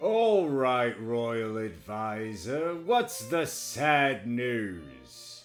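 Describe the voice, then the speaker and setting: Using a put-on character voice, a man speaks at a very slow pace with hardly any pauses and a medium pitch. Faint music plays in the background. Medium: read story. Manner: imperious, commanding.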